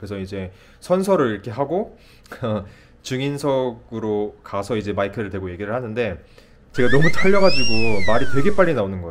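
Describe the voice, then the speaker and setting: At a medium pitch and a fairly quick pace, a man talks with very wide pitch swings and big swings in loudness. His speech is broken by long, frequent pauses. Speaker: nurse practitioner. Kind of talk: casual vlog storytelling.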